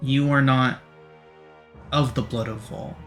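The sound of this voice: With music in the background, a raspy put-on character voice moves at a fairly slow pace. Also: man, medium pitch for a man.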